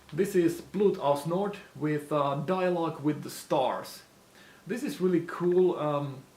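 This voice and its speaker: A man with a non-native accent and a high pitch talks at a very slow pace with ordinary pitch variation. Audible room echo and noticeable background noise surround him. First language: not English. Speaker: lure maker and YouTuber. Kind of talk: casual Q&A talk to camera. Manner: hesitant, many fillers.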